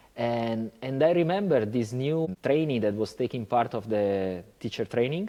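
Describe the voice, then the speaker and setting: With an Italian accent, a man speaks at a medium pitch in a dark, mellow tone. His intonation is lively and he takes hardly any pauses. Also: moderate pace. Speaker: yoga teacher. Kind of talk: casual chat.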